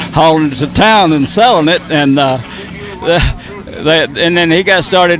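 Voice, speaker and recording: Over noticeable background noise, a man talks at a moderate pace in a fairly high voice with ordinary pitch variation. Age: 70s. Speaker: retired racing driver and crew chief. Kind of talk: interview. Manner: halting.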